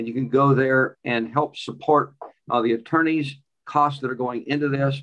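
Here is a man with an ordinary speaking voice and medium pitch. His pace is moderate and his intonation fairly even. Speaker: podcast host. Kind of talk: interview and commentary.

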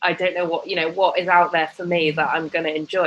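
A woman with a British accent. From UK. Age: 30s. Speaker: fashion and lifestyle blogger. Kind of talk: casual interview chat.

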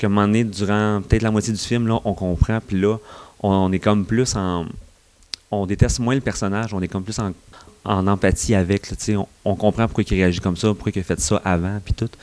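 In a Quebec accent, a man with a fairly low pitch talks at a fairly quick pace with fairly even intonation. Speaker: film columnist. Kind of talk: casual chat.

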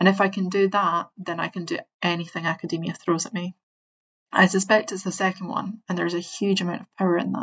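A woman speaks at a fairly quick pace with a medium pitch, a somewhat breathy voice and monotone, flat intonation. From Scotland. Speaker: postdoctoral researcher. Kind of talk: reading aloud. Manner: naturally fast talker.

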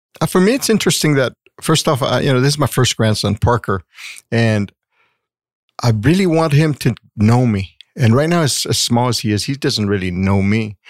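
A man with an unremarkable speaking voice, medium in pitch, at a moderate pace with lively intonation and very even loudness, dry and close with no echo, on a very clean recording with a silent background. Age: 50s. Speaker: host's father, grandfather. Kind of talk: casual chat.

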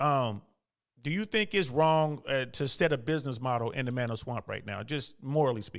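The recording is very clean, with a silent background. A man speaks in a normal speaking voice at a fairly high pitch, with ordinary pitch variation. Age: 50s. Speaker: caller, army veteran. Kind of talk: casual chat.

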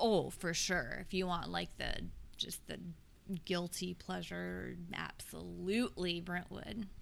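A woman speaks at a very slow pace with an American accent. The room echo is audible. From US South, Tennessee (Nolensville, Williamson County). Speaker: English teacher. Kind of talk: casual chat.

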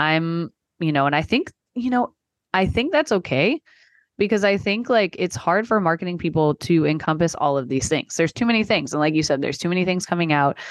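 A woman's fairly low voice with an American accent, an ordinary speaking voice, lively intonation and a fairly quick pace, very even in loudness, dry and close with no echo against a quiet background. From Texas. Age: 30s. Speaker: marketing consultant. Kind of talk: casual chat. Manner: many filler words.

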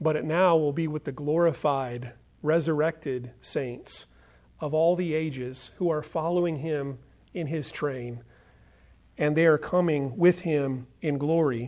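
This man has a normal speaking voice with an American accent. His pitch is fairly high, his intonation fairly even and his pace fairly slow. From United States. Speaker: pastor. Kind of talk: sermon.

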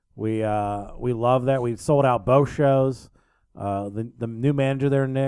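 Speaking at a fairly slow pace, a man uses a dark, mellow tone with fairly even intonation. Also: medium pitch for a man. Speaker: radio and podcast host. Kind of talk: casual chat.

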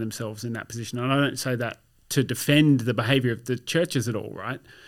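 On a very clean recording with a silent background, a man with an Australian accent speaks at a medium pitch with fairly even intonation. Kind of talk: casual chat. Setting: studio.

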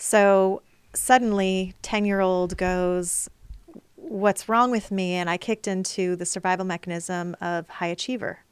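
A woman speaks in an ordinary speaking voice with fairly even intonation and a fairly slow pace, on a very clean recording with a silent background. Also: medium pitch for a woman. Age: 40s. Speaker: trauma healing coach running psychedelic retreats. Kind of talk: casual interview.

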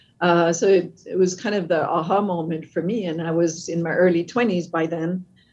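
A woman with a French Canadian accent speaks at a moderate pace with hardly any pauses. Her pitch is fairly low and her intonation fairly even. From French Canada, Quebec. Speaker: company CEO. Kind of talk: interview conversation. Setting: video call.

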